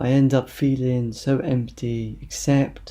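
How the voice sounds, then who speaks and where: A man's medium-pitched voice, somewhat breathy, with a dark, mellow tone and monotone, flat intonation. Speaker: poet. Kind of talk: poetry reading.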